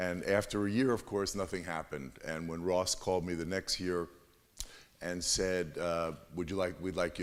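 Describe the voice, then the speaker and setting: Speaking fairly quickly, a man with a very deep, low voice has a New York accent. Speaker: lawyer, award nominee. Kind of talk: presentation to audience.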